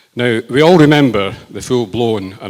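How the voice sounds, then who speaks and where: A man talks at a moderate pace in a Lancashire accent. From northern England, Lancashire. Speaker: politician. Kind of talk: rally speech. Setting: rally with audience. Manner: hesitant, many fillers.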